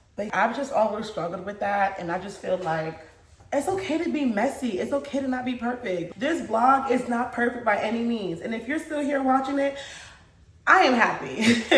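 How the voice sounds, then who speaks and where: Against noticeable background noise and audible room echo, a woman speaks in an animated tone. Her high-pitched voice has lively intonation at a moderate pace. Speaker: lifestyle vlogger and mom. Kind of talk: casual vlog talk to camera.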